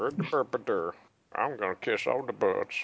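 A man adopts a put-on character voice at a medium pitch. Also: moderate pace. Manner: babbling, rambling.

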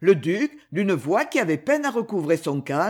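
Passages are read aloud in a natural voice.

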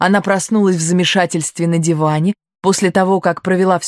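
Against a quiet background, a natural reading voice moves along with fairly even intonation.

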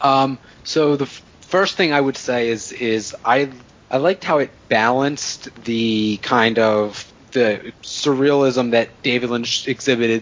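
At a fairly slow pace, a man uses a normal speaking voice of medium pitch with fairly even intonation. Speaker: podcast co-host. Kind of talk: casual chat.

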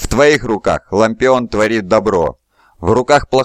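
An unforced reading voice shows ordinary pitch variation over a quiet background.

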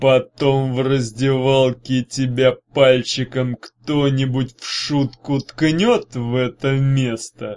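An unforced reading voice carries the whole passage.

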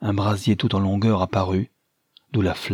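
Plain reading aloud, background quiet throughout.

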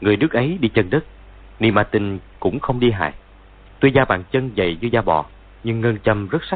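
In plain reading aloud, the voice shows ordinary pitch variation.

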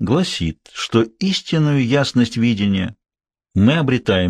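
Lively intonation marks an unforced reading voice, and the surroundings stay quiet.

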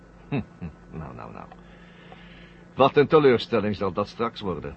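Putting on a character voice, a man speaks at a fairly slow pace with a fairly low pitch, very wide pitch swings and vocal fry.

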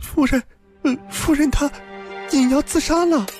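A put-on character voice set high in pitch moves at a moderate pace while faint music plays in the background. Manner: trembling, fearful.

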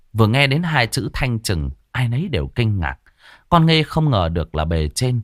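A natural voice reading aloud

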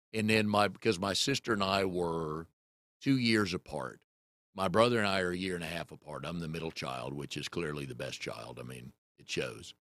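Speaking at a moderate pace, a man with a very deep, low pitch and vocal fry uses lively intonation, with big swings in loudness. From US South, North Carolina (Raleigh). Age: 60s. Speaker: podcast host. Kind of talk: casual chat.

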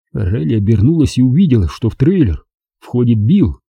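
Quiet surroundings under a natural reading voice

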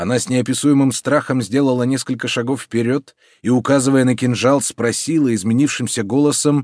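With fairly even intonation, the speaker reads in an unforced reading voice.

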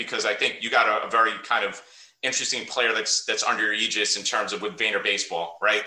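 A man talking at a very fast pace in a New York accent, with noticeable background noise. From US Northeast (Queens, New York). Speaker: podcast host and high school coach. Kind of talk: casual interview.

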